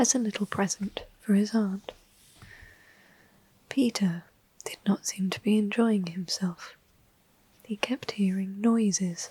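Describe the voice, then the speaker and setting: Soft-spoken and very slow, the voice comes through noticeable background noise. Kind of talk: ASMR storybook reading.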